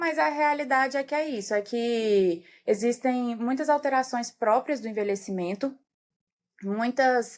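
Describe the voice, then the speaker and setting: A woman with a normal speaking voice talks at a fairly slow pace, her intonation lively. The recording is very clean, with a silent background. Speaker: geriatrician. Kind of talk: podcast interview.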